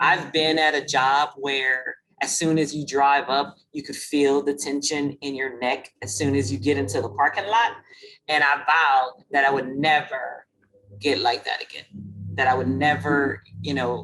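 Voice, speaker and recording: In a Louisiana accent, a woman speaks at a fairly slow pace with a very deep, low pitch and ordinary pitch variation. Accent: Lafayette Louisiana. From Louisiana, Lafayette. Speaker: webinar host. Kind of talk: webinar discussion.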